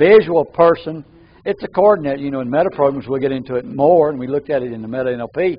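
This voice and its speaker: A man at a very fast pace. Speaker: NLP trainer. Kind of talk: training seminar. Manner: halting, repeats words.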